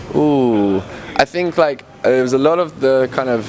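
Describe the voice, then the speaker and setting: Over noticeable background noise, a man with a London accent speaks with ordinary pitch variation. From England, London. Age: 20s. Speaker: electronic music producer. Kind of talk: casual interview.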